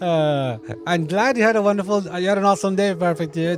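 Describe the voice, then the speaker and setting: A man races along at a very fast pace with ordinary pitch variation, noticeable background noise behind him. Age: 30s. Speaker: video game streamer. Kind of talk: casual chat. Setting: live stream. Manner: halting, many fillers and repetitions.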